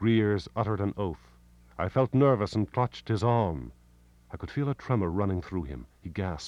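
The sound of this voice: This is an unforced reading voice. It is heard throughout.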